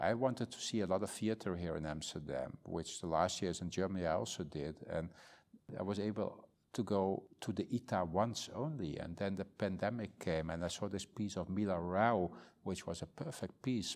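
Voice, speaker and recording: A Dutch accent, ordinary pitch variation and a moderate pace, in a very clean recording with a silent background. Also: man. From northern Netherlands countryside. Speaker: museum director. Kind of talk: interview. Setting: museum. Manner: halting.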